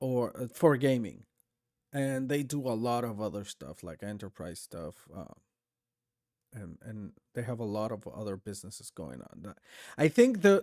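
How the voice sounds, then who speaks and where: In a dark, mellow tone, a man with a non-native accent speaks with lively intonation, big swings in loudness and long, frequent pauses. The sound is dry and close with no echo, on a very clean recording with a silent background. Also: medium pitch for a man, moderate pace. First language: not English. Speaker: streamer. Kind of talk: live stream reaction commentary. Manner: halting, many fillers and restarts.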